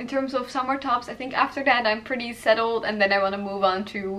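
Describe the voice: Amid audible room echo, a woman speaks at a medium pitch with a bright, sharp tone and ordinary pitch variation.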